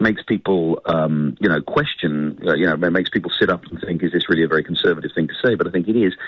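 In a British accent, a man speaks at a very fast pace. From United Kingdom. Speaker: newspaper editor and author. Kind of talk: radio interview.

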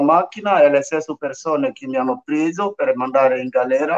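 A man's pitch sits fairly high. It shifts with ordinary variation. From northern Ivory Coast. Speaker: migrant sharing life story. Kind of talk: radio interview, testimony. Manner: halting.

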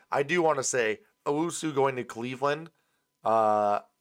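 In a very clean recording with a silent background, a man speaks in a normal speaking voice at medium pitch, with ordinary pitch variation. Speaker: sports podcast host. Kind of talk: casual sports banter. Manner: casual, profane, laughs often.

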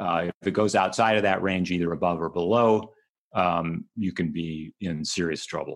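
In a quiet background, a man with a very deep, low pitch talks at a moderate pace with ordinary pitch variation. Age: 60s. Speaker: health and fitness writer. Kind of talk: interview. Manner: halting, many fillers and repetitions.

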